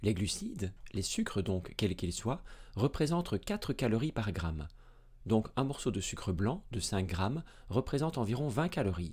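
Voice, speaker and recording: Against a quiet background, a man with a somewhat breathy voice speaks at a moderate pace with very wide pitch swings. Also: medium pitch for a man. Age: 30s. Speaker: medical doctor and science educator; science educator. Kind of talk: educational video lecture. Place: studio. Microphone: studio mic.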